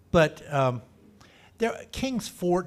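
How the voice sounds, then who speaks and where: In a Texan accent, a man speaks with a somewhat breathy voice. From Texas, Dallas. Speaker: local historian speaker. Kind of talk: talk to a club meeting. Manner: casual, halting with restarts.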